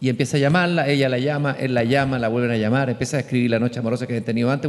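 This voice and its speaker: In a Chilean accent, a man talks at a very fast pace. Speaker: columnist and interviewer. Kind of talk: public conversation. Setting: stage with audience.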